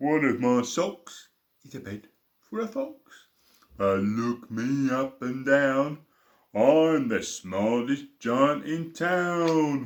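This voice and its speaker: A man talks in a put-on character voice. His pace is very slow. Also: medium pitch for a man. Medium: read story. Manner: cheerful, singsong.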